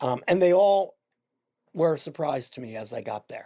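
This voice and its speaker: In a dark, mellow tone with ordinary pitch variation, a man with an American accent talks at a fairly quick pace. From Philadelphia, Pennsylvania. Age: 70s. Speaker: veteran LGBTQ journalist and newspaper founder. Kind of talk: interview.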